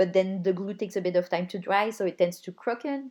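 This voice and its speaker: Ordinary pitch variation marks a woman's medium-pitched voice. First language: not English. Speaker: hobbyist video maker. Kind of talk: voice-over narration of crafting video. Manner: casual.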